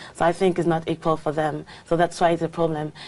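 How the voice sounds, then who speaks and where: A woman speaks with a French accent. Her voice is fairly low-pitched, with a dark, mellow tone. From France. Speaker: English exam candidate. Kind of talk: speaking exam interview. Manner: halting, many fillers.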